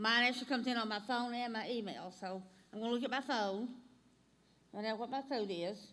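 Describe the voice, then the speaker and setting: In an Alabama accent, a woman with a fairly high pitch and a bright, sharp tone speaks at a fairly quick pace with fairly even intonation and long, frequent pauses, and room echo is audible. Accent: Southern US (Alabama). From US South, North Alabama. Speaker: instructor. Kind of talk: tutorial.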